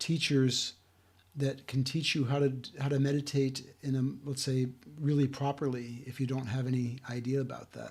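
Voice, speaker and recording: A man talks at a moderate pace in a somewhat breathy voice with monotone, flat intonation. The recording is very clean, with a silent background. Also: medium pitch for a man. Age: 60s. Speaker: self-help video host. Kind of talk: talking-head talk. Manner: halting.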